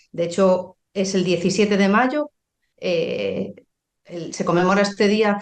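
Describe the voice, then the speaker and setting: The speaker talks at a fairly slow pace with a slight Galician accent. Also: woman. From Galicia, Spain. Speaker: pharmacist. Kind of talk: podcast interview. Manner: halting, many fillers.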